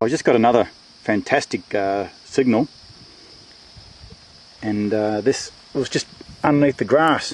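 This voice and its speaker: This man talks at a fairly slow pace, his medium pitch rising and falling in an ordinary way. Noticeable background noise sits behind him. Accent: Australian. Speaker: metal detecting hobbyist. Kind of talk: casual talk to camera. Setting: outdoors.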